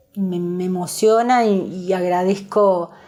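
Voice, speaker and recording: This woman has a medium-pitched voice. Her intonation stays fairly even. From Uruguay, Pando (Canelones). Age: 60s. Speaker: special education center worker. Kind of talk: interview.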